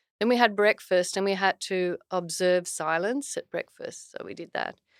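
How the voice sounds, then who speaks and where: A woman with an Australian accent speaks at a medium pitch with ordinary variation. Her loudness swings widely, and the sound is dry and close with no echo. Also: moderate pace. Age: 60s. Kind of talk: podcast interview. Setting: studio.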